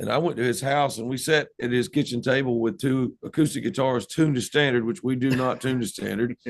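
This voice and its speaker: A man with a medium-pitched voice talks at a fairly quick pace with hardly any pauses. His pitch varies in an ordinary way, and he speaks with a Southern US accent. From US South, North Carolina. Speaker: rock band musician. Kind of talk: casual interview.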